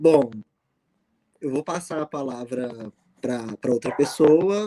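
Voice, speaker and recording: In a Minas Gerais accent, a man speaks at medium pitch with ordinary pitch variation, the sound dry and close with no echo. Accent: mineiro. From Minas Gerais, Brazil. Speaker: math teacher. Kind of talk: video call panel. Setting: video call from bedroom. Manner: halting.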